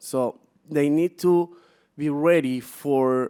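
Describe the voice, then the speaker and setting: A man speaks at a very slow pace with a dark, mellow tone. The sound is dry and close, with no echo. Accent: Peruvian. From Peru. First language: Spanish. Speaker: business executive. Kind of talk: conference presentation. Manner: halting, many fillers.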